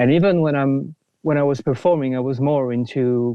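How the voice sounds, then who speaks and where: A man with a French accent, medium in pitch. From France, near Paris. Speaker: film composer. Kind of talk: podcast interview. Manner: halting, many fillers and restarts.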